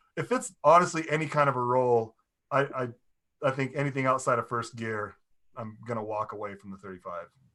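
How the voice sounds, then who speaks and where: A man speaks at a fairly quick pace in a bright, sharp tone, with big swings in loudness. His pitch is medium, with ordinary pitch variation. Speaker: car owner. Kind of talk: casual chat.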